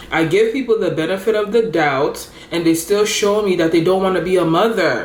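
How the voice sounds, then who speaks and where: A woman speaks at medium pitch and a fairly quick pace with lively intonation, with audible room echo and noticeable background noise. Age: 20s. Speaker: lifestyle vlogger. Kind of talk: casual chat. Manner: animated.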